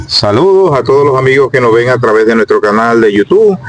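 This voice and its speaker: Very fast talking from a man, with background noise clearly present. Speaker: YouTube interviewer, local chronicler. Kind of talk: interview. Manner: loud; hesitant.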